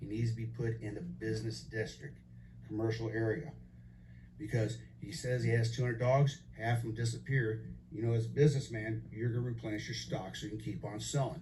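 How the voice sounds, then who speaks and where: Audible room echo surrounds this recording. A man talks at a fairly quick pace. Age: 60s. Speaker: resident giving public comment. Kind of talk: public hearing testimony. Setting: public meeting.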